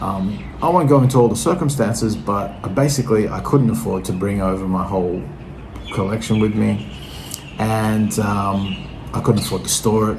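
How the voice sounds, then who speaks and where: Audible room echo and noticeable background noise surround this voice. A man with an Australian accent speaks at a fairly low pitch with lively intonation. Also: moderate pace. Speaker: vinyl record collector vlogger. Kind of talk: casual monologue to camera. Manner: hesitant, many fillers.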